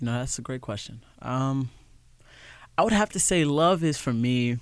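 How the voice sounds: A man at a medium pitch, with a clear, smooth tone, lively intonation and a moderate pace.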